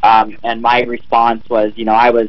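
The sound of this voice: The man speaks at a medium pitch with flat, monotone intonation. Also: moderate pace.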